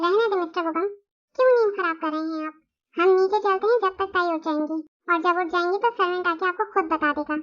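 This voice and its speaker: Putting on a squeaky character voice, a woman talks very fast at an extremely high pitch with ordinary pitch variation. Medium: fan dub. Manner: calm, smooth, commanding.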